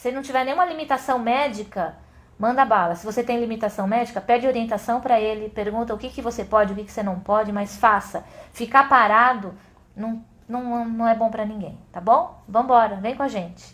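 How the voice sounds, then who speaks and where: The woman's voice is fairly high in pitch, with ordinary pitch variation. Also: moderate pace. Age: 50s. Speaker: adventure sports instructor. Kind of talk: casual chat. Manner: animated.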